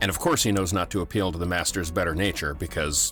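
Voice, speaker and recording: Over music in the background, a man talks in a very deep, low pitch with ordinary pitch variation. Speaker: podcast host. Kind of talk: casual talk to camera.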